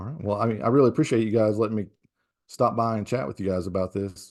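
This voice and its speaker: In a strong Southern US accent, a man speaks at a fairly low pitch with a dark, mellow tone. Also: quiet background. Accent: thick Southern US. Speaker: professor. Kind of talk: casual chat; tutorial.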